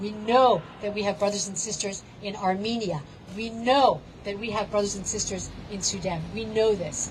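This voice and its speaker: A woman's medium-pitched voice at a moderate pace, with ordinary pitch variation, noticeable background noise and audible room echo. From Palestinian background. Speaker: protest speaker. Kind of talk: rally speech. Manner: impassioned.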